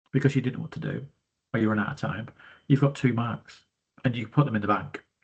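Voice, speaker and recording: A somewhat breathy man with a British accent. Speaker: business studies teacher. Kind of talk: tutorial. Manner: breathy, sounds out of breath.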